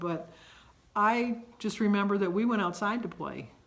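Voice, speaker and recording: A woman with an American accent speaks at a medium pitch with ordinary pitch variation. Audible room echo surrounds her voice. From Michigan. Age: 60s. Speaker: vlogger. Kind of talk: casual monologue, reminiscing. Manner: conversational, with many fillers.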